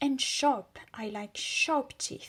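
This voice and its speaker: Pitched high, a woman's voice takes on a put-on character tone. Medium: read story. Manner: blunt, curt commands.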